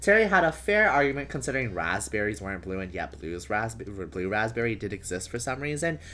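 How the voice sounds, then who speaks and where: Fairly quick pace with hardly any pauses. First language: not English. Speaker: streamer. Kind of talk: reading aloud. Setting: live stream.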